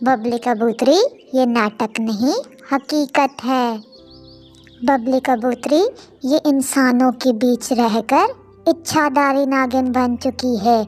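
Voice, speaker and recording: A female-sounding cartoonish character voice speaks at a high pitch and a very slow pace. Faint music plays in the background. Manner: flattering.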